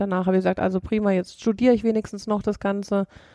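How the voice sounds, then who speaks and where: A woman with a dark, mellow tone speaks at medium pitch in a monotone, flat intonation. The sound is dry and close with no echo. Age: 30s. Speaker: company managing director. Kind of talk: interview.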